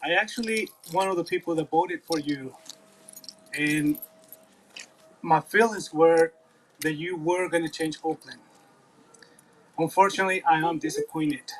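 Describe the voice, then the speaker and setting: With a Spanish accent, a man speaks at a high pitch with ordinary pitch variation. Long, frequent pauses break his speech, and the sound is dry and close with no echo. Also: moderate pace. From Mexico. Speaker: school board candidate. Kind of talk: public comment at town hall. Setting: outdoor park town hall meeting.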